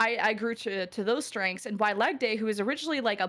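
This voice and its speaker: A fairly high-pitched woman at a fairly quick pace, on a very clean recording with a silent background. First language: French. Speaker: esports caster. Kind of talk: interview conversation.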